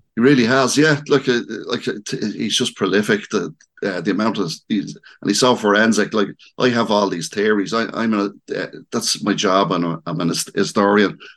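A man with a fairly low pitch and a Dublin accent at a moderate pace. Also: ordinary pitch variation. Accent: Dublin Irish. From Dublin, Ireland. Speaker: local historian and author. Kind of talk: interview.

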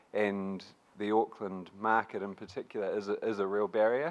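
In a New Zealand accent, a man talks at a moderate pace with fairly even intonation over a quiet background. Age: young. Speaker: youth advocacy group representative. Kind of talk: panel discussion. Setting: stage with audience.

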